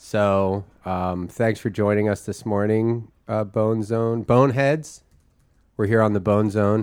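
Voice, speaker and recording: A man speaking at a very slow pace with fairly even intonation. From Philadelphia. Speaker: podcast co-host and comedian. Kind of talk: casual comedic chat.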